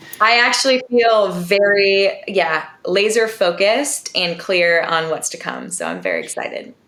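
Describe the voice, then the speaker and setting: Over noticeable background noise, a woman at medium pitch talks at a fairly slow pace with hardly any pauses and ordinary pitch variation. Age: 40s. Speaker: nutritionist. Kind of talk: interview podcast.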